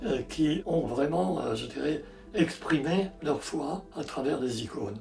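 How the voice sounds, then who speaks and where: Through audible room echo and noticeable background noise, a man with a fairly high pitch talks at a very slow pace with lively intonation. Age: 80s+. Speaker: icon painter. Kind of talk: interview monologue. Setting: in his studio. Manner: halting, many hesitations.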